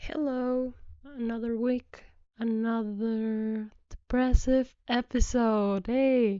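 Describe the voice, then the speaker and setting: The delivery has monotone, flat intonation. It moves at a very slow pace. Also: woman, fairly high pitch for a woman. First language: not English. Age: 20s. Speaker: podcast host. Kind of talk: personal monologue.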